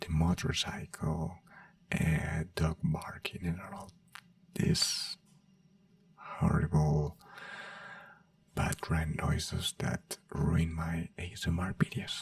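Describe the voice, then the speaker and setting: With a non-native accent, the speaker goes at a very slow pace with long, frequent pauses over noticeable background noise. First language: not English. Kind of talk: ASMR soft-spoken ramble. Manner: soft-spoken.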